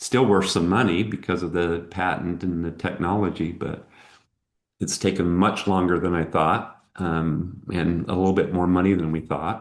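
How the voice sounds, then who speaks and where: With a very deep, low pitch, a man speaks at a moderate pace with fairly even intonation against a quiet background. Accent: American. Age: 60s. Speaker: entrepreneur. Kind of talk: interview.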